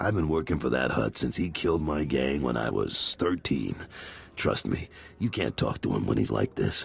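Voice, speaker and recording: A man puts on a character voice that is raspy and very deep, speaking at a moderate pace over clear background noise. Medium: video game. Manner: blunt, no-nonsense.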